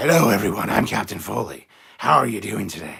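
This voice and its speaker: A loud, raspy, put-on character voice from a man, delivered at a fairly quick pace. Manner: over-delivered, announcer-like.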